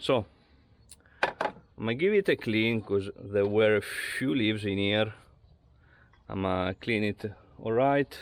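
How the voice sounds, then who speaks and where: A man with an Italian accent speaks at medium pitch and a fairly slow pace, pausing long and often. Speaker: amateur car mechanic / garage vlogger. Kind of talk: casual DIY car talk to camera. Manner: hesitant, with filler words.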